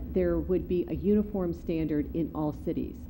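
A woman talks at a moderate pace. Noticeable background noise runs behind her. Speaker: city attorney. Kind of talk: formal staff report to council. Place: meeting room.

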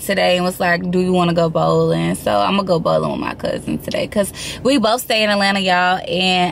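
A woman's voice with fairly even intonation, dry with no echo, over light background noise. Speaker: lifestyle vlogger. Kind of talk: casual vlog chat. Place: car. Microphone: phone near.

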